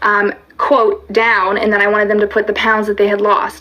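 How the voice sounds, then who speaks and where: Noticeable background noise runs beneath a woman speaking at a fairly quick pace. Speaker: fitness coach. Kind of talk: livestream talk. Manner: fast; animated.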